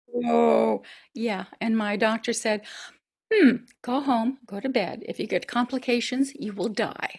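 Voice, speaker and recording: A woman speaks fairly slowly in a fairly high, somewhat breathy voice with fairly even intonation. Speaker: actress, opera singer and voice over actor. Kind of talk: interview answer.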